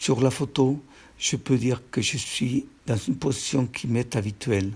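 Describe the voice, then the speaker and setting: Somewhat breathy, a man keeps a medium pitch and fairly even intonation at a fairly slow pace. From Peru. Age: 70s. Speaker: painter. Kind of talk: reading aloud.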